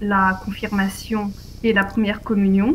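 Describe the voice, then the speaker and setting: In a monotone, flat intonation, a woman speaks somewhat breathily at a very slow pace. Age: 30s. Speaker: interviewee on faith and politics. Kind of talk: interview.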